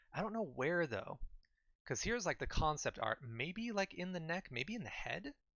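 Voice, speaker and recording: A man speaks loudly at a moderate pace. His high voice swings very widely in pitch. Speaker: gaming streamer. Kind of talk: live stream commentary. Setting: live stream. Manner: animated.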